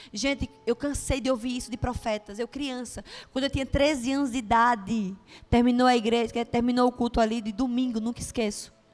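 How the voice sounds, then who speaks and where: A woman with a Bahian accent speaks in a high voice at a fairly quick pace. Music plays in the background. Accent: Bahian Brazilian Portuguese. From Brazil, Bahia (Juazeiro). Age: 30s. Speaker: preacher. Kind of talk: sermon with personal testimony. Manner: animated.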